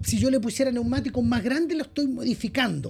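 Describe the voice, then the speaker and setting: A Chilean accent over music in the background. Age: 50s. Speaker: firearms importer. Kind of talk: casual interview.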